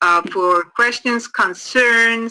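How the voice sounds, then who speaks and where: A woman with an Icelandic accent speaks very slowly in a bright, sharp tone. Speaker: addiction counselor trainer. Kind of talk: training course lecture. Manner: halting, many repetitions.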